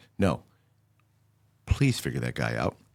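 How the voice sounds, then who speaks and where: The recording is very clean, with a silent background. A man speaks at a moderate pace with vocal fry. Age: 60s. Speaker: podcast host, security software provider. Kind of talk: podcast interview.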